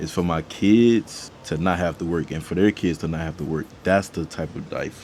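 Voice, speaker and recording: Noticeable background noise sits behind a man with a very deep, low pitch. He talks at a fairly quick pace with ordinary pitch variation. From US South, Miami, Florida. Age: 20s. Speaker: content creator and musician. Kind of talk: casual Q&A vlog. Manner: casual, repetitive and halting.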